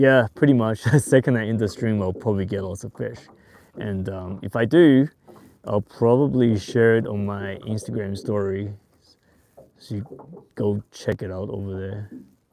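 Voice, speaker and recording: Long, frequent pauses break up a man's speech, which has a fairly low pitch, a dark, mellow tone and big swings in loudness. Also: ordinary pitch variation, moderate pace. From Taiwan and Australia. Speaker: fishing youtuber. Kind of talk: live stream tutorial. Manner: casual, hesitant with fillers.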